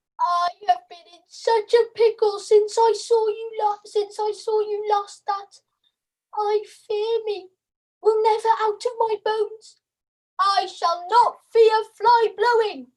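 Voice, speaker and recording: The speaker uses a put-on character voice at an extremely high pitch. The delivery comes at a fairly slow pace. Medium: stage play.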